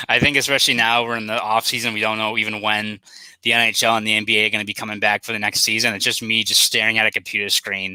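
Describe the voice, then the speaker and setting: A man in a Boston accent talks at a very fast pace with a fairly low pitch. His intonation is flat and monotone, and the sound is dry and close with no echo. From Boston, South Boston. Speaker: sports journalist. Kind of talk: casual chat.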